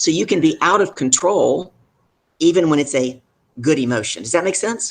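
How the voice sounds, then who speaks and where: An animated man with a Deep South accent and lively intonation. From US South. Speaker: business leadership coach. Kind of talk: live show interview.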